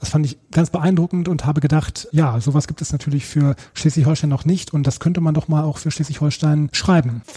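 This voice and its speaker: Talking at a fairly quick pace with hardly any pauses, a man uses a fairly high pitch, ordinary pitch variation and a dark, mellow, somewhat breathy tone. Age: 40s. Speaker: teacher and book author. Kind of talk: interview.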